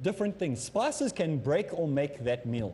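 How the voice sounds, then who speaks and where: The voice has a dark, mellow tone and sounds somewhat breathy. Its intonation is lively. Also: man. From South Africa. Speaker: Islamic teacher. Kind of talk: lecture. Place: studio.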